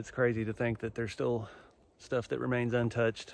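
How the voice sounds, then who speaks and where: At a moderate pace, a man speaks in a dry recording with no echo. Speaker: vlogger. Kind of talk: casual vlog chat. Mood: relaxed, reflective. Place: forest. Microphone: phone near.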